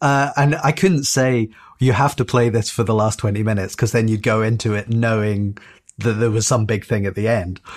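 At a moderate pace and medium pitch, a man uses an unremarkable speaking voice with ordinary pitch variation and very even loudness. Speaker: podcast panelist. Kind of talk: casual chat.

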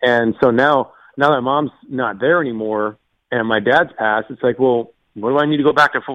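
In a plain, everyday voice, a man with an American accent talks at a fairly quick pace and medium pitch, with ordinary pitch variation. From US, Florida east coast. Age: 40s. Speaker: caller. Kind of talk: casual chat. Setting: phone call.

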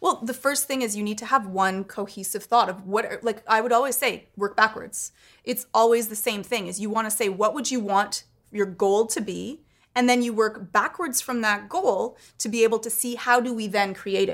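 Recorded very cleanly against a silent background, a woman with a normal speaking voice and fairly high pitch talks at a moderate pace with ordinary pitch variation. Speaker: podcast co-host and tech commentator. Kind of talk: casual chat.

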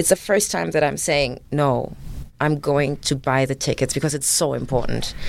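Lively intonation with vocal fry at a moderate pace. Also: woman, very deep, low pitch for a woman. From Germany. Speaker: actress. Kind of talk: interview.

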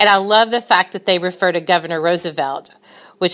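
A woman with a plain, everyday voice speaks at a fairly low pitch with fairly even intonation. The recording is very clean, with a silent background. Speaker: listener and former guest. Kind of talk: recorded voice message.

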